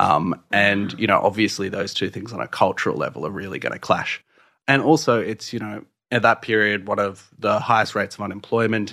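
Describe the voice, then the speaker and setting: Over a quiet background, a man with an Australian accent speaks at a fairly quick pace, his pitch fairly low, his tone bright and sharp, and his intonation fairly even. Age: 30s. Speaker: poet. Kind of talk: in-depth interview. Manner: halting.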